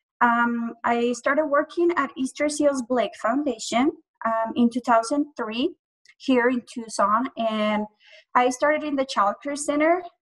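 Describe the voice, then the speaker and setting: Speaking at a fairly slow pace in a high pitch, a woman shows ordinary pitch variation, and the sound is dry and close with no echo. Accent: Spanish. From Colombia. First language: Spanish. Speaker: early childhood program director. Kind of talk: panel discussion introduction. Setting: video call.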